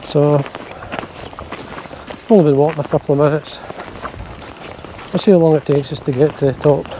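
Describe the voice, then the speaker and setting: At a moderate pace, a man speaks with a fairly high pitch and fairly even intonation. Long, frequent pauses and noticeable background noise fill the clip. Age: 60s. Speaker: fly fishing vlogger. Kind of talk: casual outdoor vlog narration. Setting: outdoors, hills.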